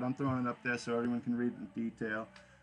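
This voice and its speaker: A man speaks at a very fast pace with a slight New England accent. His pitch sits in the medium range. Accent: subtle New England. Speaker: podcast host. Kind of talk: casual live podcast talk. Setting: live online radio stream. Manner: casual, halting with fillers.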